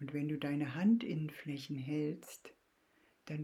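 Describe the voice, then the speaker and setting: Her voice is calm and soothing, dark and mellow in tone, and somewhat breathy. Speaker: podcast host and Jin Shin Jyutsu practitioner. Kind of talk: guided meditation. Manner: slow, calm, soothing; gentle, reassuring with long pauses.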